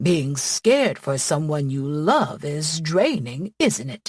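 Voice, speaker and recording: In a put-on character voice, someone growls with lively intonation at a fairly slow pace. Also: woman, very deep, low pitch for a woman. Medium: read story. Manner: warm, affectionate.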